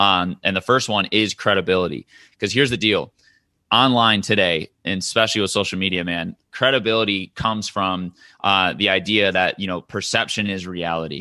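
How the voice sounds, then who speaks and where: A man with a Midwestern accent talks at a fairly quick pace in a bright, sharp tone against a quiet background. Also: fairly low pitch for a man, ordinary pitch variation. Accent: General American (Midwest). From US Midwest, Michigan. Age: 20s. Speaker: digital marketing entrepreneur. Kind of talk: podcast interview. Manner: casual, filler-heavy.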